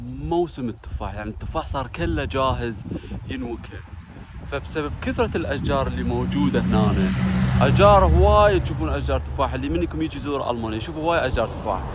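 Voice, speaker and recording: The speaker's pitch swings very widely at a moderate pace. Audible room echo and noticeable background noise surround the voice. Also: man. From Iraq, Basra. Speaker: vlogger. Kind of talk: casual vlog.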